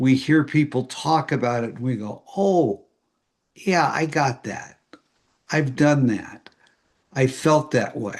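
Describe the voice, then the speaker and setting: The pace is very slow, broken by long, frequent pauses. Loudness swings widely. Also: man, ordinary pitch variation. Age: 70s. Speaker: AA speaker and historian. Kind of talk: recovery talk to an online meeting. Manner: halting with fillers.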